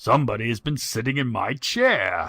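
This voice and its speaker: A man's put-on character voice, growling and raspy, at a medium pitch and moderate pace, in a very clean recording with a silent background. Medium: read story.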